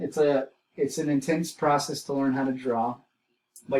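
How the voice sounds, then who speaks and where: A man with a plain, everyday voice talks at a moderate pace, his pitch fairly high and his intonation fairly even. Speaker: art teacher. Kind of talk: lecture. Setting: home recording.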